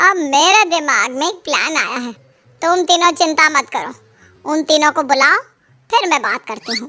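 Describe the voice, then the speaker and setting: With faint music in the background, a woman performs a cartoonish character voice, high-pitched, lively in intonation and at a moderate pace. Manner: sweet-talking, cunning.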